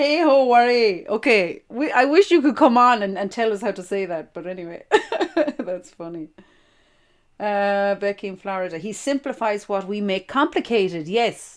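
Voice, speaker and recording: Lively intonation and big swings in loudness run through this woman's speech. She talks at a moderate pace with an Irish accent. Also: medium pitch for a woman. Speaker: podcast host. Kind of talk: casual chat.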